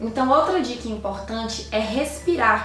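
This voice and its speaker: A woman speaks at a moderate pace with ordinary pitch variation, with audible room echo and noticeable background noise. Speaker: YouTuber giving tips to lawyers. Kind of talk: tutorial.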